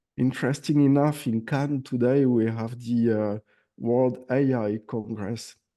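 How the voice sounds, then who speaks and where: With a French accent, a man talks at a fairly slow pace in a medium pitch, his dark, mellow tone and fairly even intonation set against a quiet background. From France. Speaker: AI automation agency owner. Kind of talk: casual chat.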